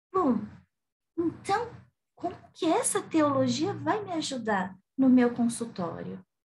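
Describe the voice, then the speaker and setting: Very wide pitch swings mark this very slow delivery, broken by long, frequent pauses and carried with audible room echo. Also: woman, high pitch for a woman. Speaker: psychotherapist and theology lecturer. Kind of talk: lecture.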